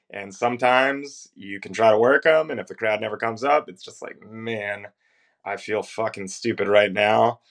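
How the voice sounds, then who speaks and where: Over a quiet background, a man with a plain, everyday voice and an American accent speaks at a moderate pace and medium pitch, his loudness swinging widely while his pitch varies in an ordinary way. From Northern Virginia. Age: 30s. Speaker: professional wrestler. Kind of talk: interview.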